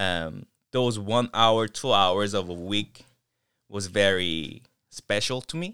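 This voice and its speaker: Here a man speaks at a very slow pace in a bright, sharp tone. His pitch is fairly low, with ordinary variation. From South Korea, Seoul. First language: Korean. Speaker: professional dancer. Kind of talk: casual chat. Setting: attic, no studio.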